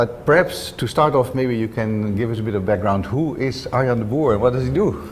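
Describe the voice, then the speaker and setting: Against noticeable background noise and audible room echo, a man speaks at medium pitch and a moderate pace with ordinary pitch variation. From Netherlands. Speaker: interview host, lighting designer. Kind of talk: interview. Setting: co-working office.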